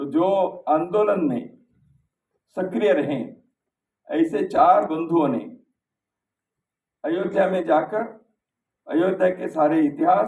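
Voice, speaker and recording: A man with a high-pitched voice and lively intonation. He speaks with long, frequent pauses. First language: Kannada (speaking Hindi). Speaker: speaker at a book launch. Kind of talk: formal speech. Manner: formal.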